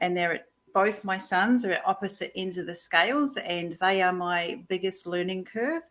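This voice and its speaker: In a New Zealand accent, a woman with medium pitch and ordinary pitch variation speaks at a moderate pace. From New Zealand, Taupo. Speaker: life coach. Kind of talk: interview. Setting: live video stream.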